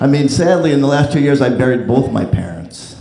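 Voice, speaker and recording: Fairly quick American-accented male speech, with audible room echo and noticeable background noise. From New Jersey. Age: 50s. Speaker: comedian. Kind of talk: stand-up. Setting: stage with audience.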